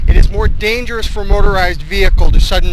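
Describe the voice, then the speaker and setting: Male speech amid noticeable background noise, carrying audible echo from the room. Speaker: vlogger on weight-loss walks. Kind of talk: walking vlog monologue. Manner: fast-paced, rising and dropping intonation; snarky commentary tone.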